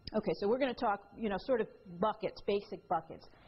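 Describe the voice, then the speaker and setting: At a very fast pace, a woman with an American accent speaks in a fairly high pitch with ordinary pitch variation. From New York. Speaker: attorney and author giving a talk. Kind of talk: lecture. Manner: animated.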